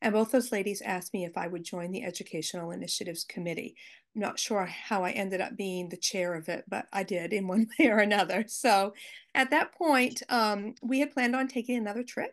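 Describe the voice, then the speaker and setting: In a quiet background, a woman with an American accent talks at a fairly quick pace with ordinary pitch variation. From US, Maine. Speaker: Holocaust educator, teacher. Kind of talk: slide presentation. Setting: video call. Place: home room. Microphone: video call.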